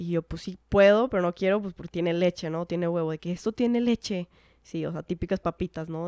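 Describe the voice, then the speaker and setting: Against a quiet background, a woman with a fairly low pitch and a dark, mellow tone speaks with fairly even intonation. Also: dry sound with no echo. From Mexico, mostly Monterrey; Mexico. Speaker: professional footballer; guest. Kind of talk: casual interview chat. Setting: in person. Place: home room. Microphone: handheld.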